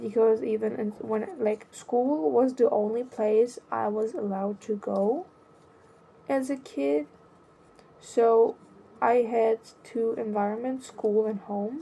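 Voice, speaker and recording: Speaking very slowly with long, frequent pauses, a woman with a non-native accent uses a fairly high pitch. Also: ordinary pitch variation. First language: not English. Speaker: vlogger. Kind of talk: personal monologue. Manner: halting.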